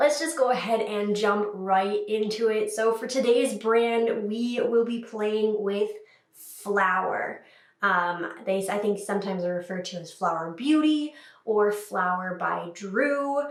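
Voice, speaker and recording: Fairly slow speech with ordinary pitch variation, noticeable background noise and audible room echo. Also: woman, fairly high pitch for a woman. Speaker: makeup youtuber. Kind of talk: tutorial. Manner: casual, chatty.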